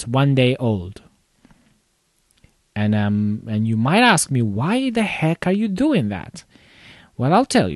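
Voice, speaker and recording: Someone with a non-native accent speaks at a very slow pace, the pitch making very wide swings. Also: man. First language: not English. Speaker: computer repair shop owner, tech video host. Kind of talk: casual live commentary. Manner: halting, many fillers.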